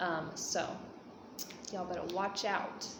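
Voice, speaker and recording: With noticeable background noise and audible room echo, a woman talks in an American accent. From United States. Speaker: vlogger. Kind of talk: casual Q&A vlog. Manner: casual, many fillers.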